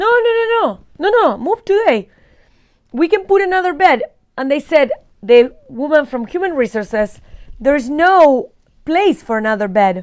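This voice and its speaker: Animated speech from a woman with an Argentine accent, high in pitch with very wide pitch swings, at a moderate pace. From Argentina, Buenos Aires. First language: Spanish. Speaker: vlogger. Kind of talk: casual storytelling.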